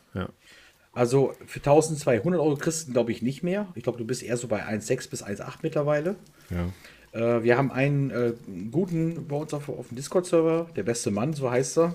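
A man speaks with a dark, mellow tone at a fairly high pitch. His pace is moderate and his intonation lively. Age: 40s. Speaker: hobby laser maker, media designer. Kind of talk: casual interview chat.

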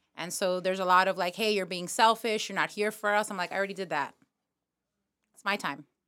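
Very fast speech with long, frequent pauses, a bright, sharp tone, fairly even intonation and an American accent. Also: woman, medium pitch for a woman, very clean recording, silent background. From New York. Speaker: comedian. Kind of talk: casual chat.

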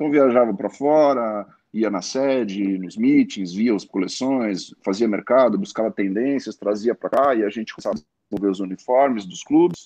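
At a moderate pace and a medium pitch, a man talks with ordinary pitch variation in an unremarkable speaking voice, the sound dry and close with no echo. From Brazil, Santos (São Paulo coast). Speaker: sportswear company manager. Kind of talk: interview. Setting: live stream.

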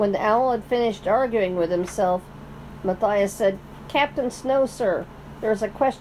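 The speaker has a natural reading voice. It carries through the whole clip.

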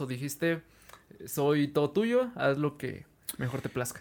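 A man's voice full of lively intonation. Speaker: podcast host. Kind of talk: casual interview chat.

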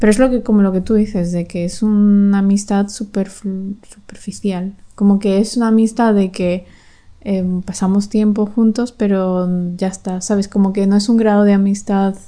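Dark and mellow in tone, a woman speaks with monotone, flat intonation. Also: medium pitch for a woman, moderate pace. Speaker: podcast co-host. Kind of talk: casual chat.

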